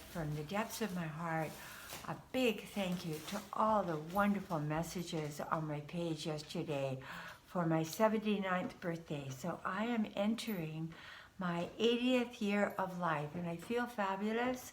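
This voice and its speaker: A woman speaks at a fairly slow pace with a fairly low pitch. Audible room echo is present. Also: ordinary pitch variation. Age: 70s. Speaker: spiritual card reader. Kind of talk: casual spiritual monologue. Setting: at home, just woke up. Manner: hesitant, with fillers.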